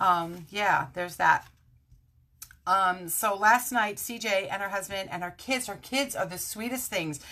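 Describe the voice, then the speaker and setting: An animated woman speaks with an American accent at medium pitch. Her pace is fairly slow, and her pitch varies in an ordinary way. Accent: Brooklyn accent, stronger when tired. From Brooklyn, New York. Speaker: craft demonstrator. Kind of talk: live stream craft tutorial. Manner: chatty, animated.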